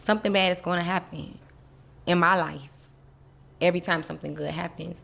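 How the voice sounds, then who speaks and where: A woman with an American accent talks at a fairly quick pace. Her intonation is monotone and flat, with vocal fry. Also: fairly low pitch for a woman. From US South, Miami. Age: 30s. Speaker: interview guest. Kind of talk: casual interview.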